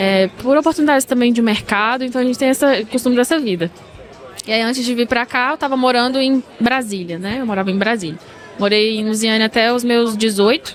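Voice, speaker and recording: With crowd noise in the background, a woman talks at a fairly quick pace in a fairly high pitch with ordinary pitch variation. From Brazil, interior of Goiás. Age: 20s. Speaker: dentist. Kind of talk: casual interview.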